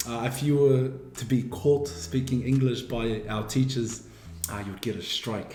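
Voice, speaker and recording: A man at medium pitch and a fairly slow pace, with ordinary pitch variation, audible room echo and noticeable background noise. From New Zealand, Wairoa. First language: Māori. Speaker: university student. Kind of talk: interview.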